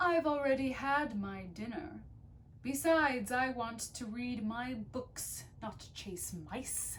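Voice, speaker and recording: Using a put-on character voice, a woman speaks high-pitched and fairly slowly against clear background noise. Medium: read story. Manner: pompous, lofty.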